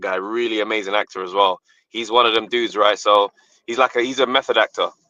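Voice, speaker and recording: A man with a British accent, medium pitch and a very fast pace. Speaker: comedian and actor. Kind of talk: interview answer. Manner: casual, animated storytelling.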